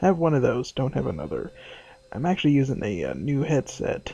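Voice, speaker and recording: A quiet voice at a moderate pace. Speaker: gaming video creator. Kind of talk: let's play commentary.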